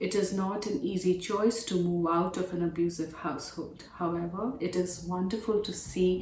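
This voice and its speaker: With an Indian accent, a woman speaks at a moderate pace in a fairly low pitch. Her intonation is fairly even, with noticeable background noise. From India, New Delhi. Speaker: domestic violence advocate, operations manager. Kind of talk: prepared remarks.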